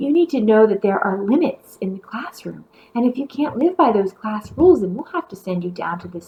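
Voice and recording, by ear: Reading aloud, the voice sounds natural.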